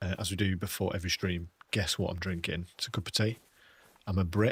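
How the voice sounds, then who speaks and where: Very fast and monotone, a man speaks in a very deep, low, somewhat breathy voice with flat intonation. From England. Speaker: gaming streamer. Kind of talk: casual live stream chat. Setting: live stream. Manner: casual, rambling.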